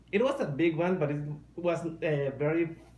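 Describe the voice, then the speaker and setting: A man with a Mexican accent at a fairly slow pace, audible room echo and noticeable background noise around him. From Mexico. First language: Spanish. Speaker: furry artist. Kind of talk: casual podcast interview. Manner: halting.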